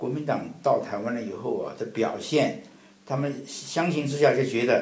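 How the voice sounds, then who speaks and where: Audible room echo surrounds a man speaking in a medium pitch with ordinary pitch variation. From Taiwan (mainland-born, family came from mainland). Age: 70s. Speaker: Taiwan affairs expert, translator. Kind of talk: interview.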